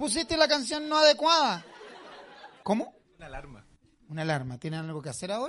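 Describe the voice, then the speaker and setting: With a Chilean accent, a man speaks at a fairly quick pace in a high, bright, sharp, animated voice, with very wide pitch swings, big swings in loudness and long, frequent pauses. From southern Chile. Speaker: comedian. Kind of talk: stand-up. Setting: stage with audience.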